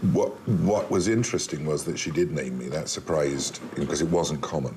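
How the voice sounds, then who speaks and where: Over noticeable background noise and audible room echo, a man with a very deep, low pitch speaks at a fairly quick pace with lively intonation. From England, Isle of Wight. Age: 60s. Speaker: actor. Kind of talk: personal testimony.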